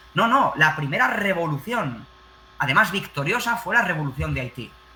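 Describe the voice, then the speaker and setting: Amid noticeable background noise, a man with a Spanish accent speaks in an animated tone, his high pitch rising and falling with lively intonation. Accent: Spanish (Spain). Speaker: teacher. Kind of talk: panel discussion.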